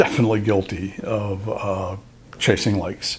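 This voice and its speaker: A man's fairly low, somewhat breathy voice at a fairly slow pace. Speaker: photographer and YouTuber. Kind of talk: casual talk to camera. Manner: hesitant, rambling.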